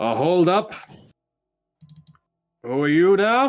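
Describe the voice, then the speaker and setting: Putting on a character voice, a man speaks at a high pitch with very wide pitch swings. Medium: actual play. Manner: wry, laconic.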